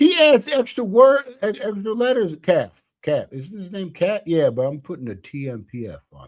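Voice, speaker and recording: A man mumbles at a high pitch with very wide pitch swings and big swings in loudness. He hardly pauses at all. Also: moderate pace. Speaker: podcast host and comedian. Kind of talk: casual chat. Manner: mumbling.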